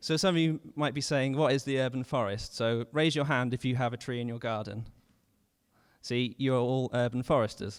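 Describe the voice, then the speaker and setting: A man with a British accent speaks at a moderate pace in a medium pitch. The recording is very clean, with a silent background. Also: ordinary pitch variation. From United Kingdom. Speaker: urban forester. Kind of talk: presentation talk. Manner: halting, with fillers.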